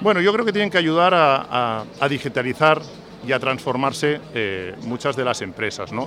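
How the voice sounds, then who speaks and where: With noticeable background noise present, a man talks at a moderate pace. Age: 50s. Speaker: insurance executive. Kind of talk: radio interview.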